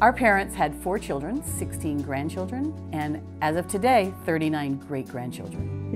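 With clear music in the background, a woman with a very deep, low pitch speaks at a moderate pace, hardly pausing and swinging her pitch very widely. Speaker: clergy's child. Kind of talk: interview answer. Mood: warm, fond remembering. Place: home room.

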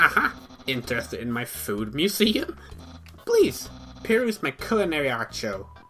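Loud and at a moderate pace, this is a put-on character voice. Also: man, medium pitch for a man. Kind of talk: showy, grandiose. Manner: loud, goofy, theatrical.

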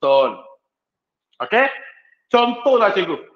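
Against a quiet background with audible room echo, a man talks at a fairly slow pace. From Malaysia. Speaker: teacher giving a workshop talk. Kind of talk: online workshop lecture. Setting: video call. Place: classroom.

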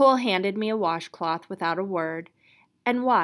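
Behind the voice, things are quiet. The passage is read aloud in a natural voice.

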